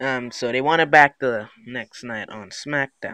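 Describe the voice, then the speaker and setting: A man's medium-pitched voice, bright and sharp in tone, with a dry, close sound and no echo. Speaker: gaming YouTuber. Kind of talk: casual gameplay commentary. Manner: halting, many fillers.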